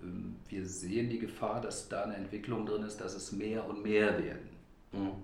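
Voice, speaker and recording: Somewhat breathy, a man talks at a fairly low pitch with fairly even intonation and a moderate pace. Room echo is audible. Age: 50s. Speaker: health insurance press spokesman. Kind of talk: interview. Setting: room with reverb. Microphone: echo in recording room.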